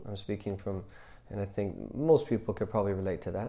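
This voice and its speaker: A man talks at a fairly quick pace in a dark, mellow tone, with audible room echo. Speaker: Islamic religious teacher. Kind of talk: religious class lecture. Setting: mosque class, live streamed. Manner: hesitant with many fillers.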